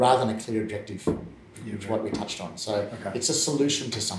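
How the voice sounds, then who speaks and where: Here is a man talking. He has an Australian accent. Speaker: podcast host. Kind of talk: interview conversation.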